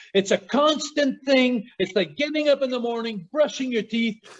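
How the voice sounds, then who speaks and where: In a Quebec accent, a man talks with an extremely high pitch. His pace is moderate and his intonation lively. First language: French. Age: 60s. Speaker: former pro wrestler. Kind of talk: casual chat. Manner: animated.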